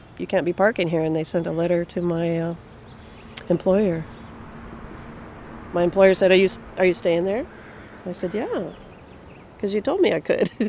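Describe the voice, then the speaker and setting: Against noticeable background noise, a woman with a fairly low pitch speaks at a moderate pace and fairly even intonation, pausing long and often. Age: 60s. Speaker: commuter shuttle driver. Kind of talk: interview. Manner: casual.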